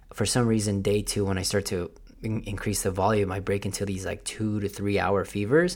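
A man's fairly low voice at a moderate pace, an ordinary speaking voice, in a very clean recording with a silent background. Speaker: podcast host. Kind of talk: solo podcast monologue. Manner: casual, motivational.

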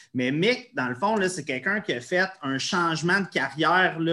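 Speaking in a Quebec accent, a man uses a high pitch and lively intonation. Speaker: podcast host. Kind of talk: interview.

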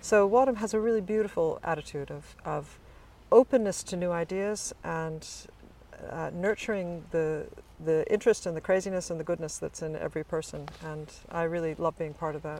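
A woman's fairly low-pitched voice with an American accent and ordinary pitch variation. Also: moderate pace, big swings in loudness. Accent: American, noticeable to English listeners. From US East Coast, Virginia suburbs. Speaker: college chaplain. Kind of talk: casual interview. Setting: chapel.

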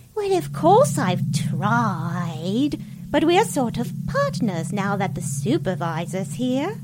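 A put-on character voice at a middle pitch and fairly slow pace over loud background noise. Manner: breezy, scheming.

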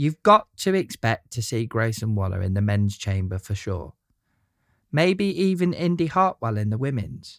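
A man with an English accent, medium-pitched with very wide pitch swings at a moderate pace, dry and close with no echo on a very clean recording with a silent background. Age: 30s. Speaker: wrestling podcaster. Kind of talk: scripted monologue.

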